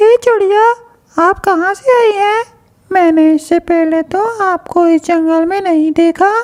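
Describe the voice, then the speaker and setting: A female-sounding, cartoonish character voice rises to an extremely high pitch. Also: fairly slow pace. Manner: gentle, polite.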